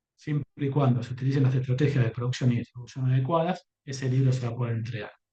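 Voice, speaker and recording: A somewhat breathy man's voice with a dark, mellow tone, medium pitch and fairly quick pace. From Argentina. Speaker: company executive speaking on publishing. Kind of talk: conference talk.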